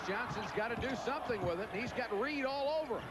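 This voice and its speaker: Over loud background noise, a man talks with ordinary pitch variation in a dry sound with no echo. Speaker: play-by-play announcer. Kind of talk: sports commentary. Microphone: headset.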